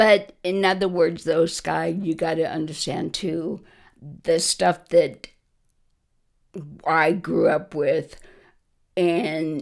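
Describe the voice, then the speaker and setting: A woman with an American accent speaks very slowly, with vocal fry and fairly even intonation. Long, frequent pauses break up her speech. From US Southwest, Las Vegas. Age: 70s. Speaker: interviewee, grandmother. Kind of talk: casual interview conversation.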